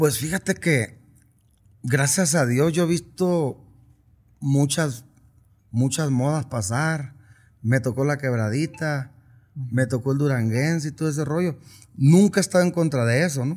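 A somewhat breathy man speaks at a fairly slow pace, with long, frequent pauses. His pitch varies in an ordinary way over a quiet background. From Sinaloa, Mexico. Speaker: regional Mexican singer; interviewee. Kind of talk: casual interview. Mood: relaxed, reflective. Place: studio. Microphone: studio mic.

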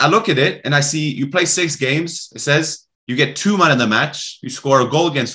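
Against a quiet background, a man speaks in a bright, sharp tone. His pitch variation is ordinary. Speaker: podcast host. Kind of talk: interview conversation. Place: home room. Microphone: video call.

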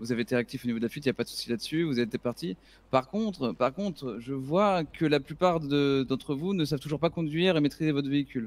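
Using an unremarkable speaking voice, a man talks at a fairly high pitch with lively intonation. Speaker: gamer in roleplay. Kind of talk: roleplay gaming stream.

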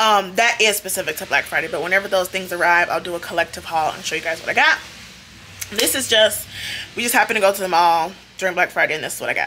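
Over light background noise, a woman speaks at a very fast pace with ordinary pitch variation. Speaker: haul vlogger. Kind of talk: casual vlog chat. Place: home room. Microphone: phone near.

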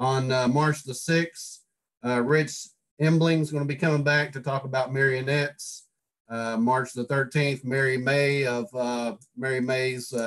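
The man's intonation is monotone and flat. His pitch is fairly high. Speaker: club meeting host. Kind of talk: meeting announcements. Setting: video call.

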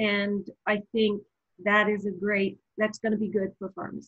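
Somewhat breathy, a woman speaks at a fairly high pitch. She keeps a moderate pace over a quiet background. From eastern Canada, Nova Scotia. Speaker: pharmacy professor. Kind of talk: interview. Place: home room. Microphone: webcam.

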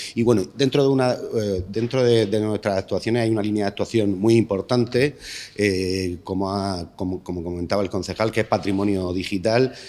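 A man speaks at a moderate pace with a fairly low pitch. His tone is dark and mellow, and his intonation stays fairly even. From Lorca, Murcia, Spain; Murcia, Spain. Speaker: foundation director. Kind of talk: press conference speech. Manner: halting. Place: hall. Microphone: podium.

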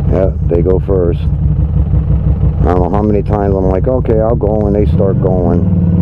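Over noticeable background noise, a man with a very deep, low pitch talks with very even loudness and hardly any pauses. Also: lively intonation, fairly slow pace. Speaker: motorcycle vlogger. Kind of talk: casual vlog narration while riding. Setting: outdoors on a motorcycle.

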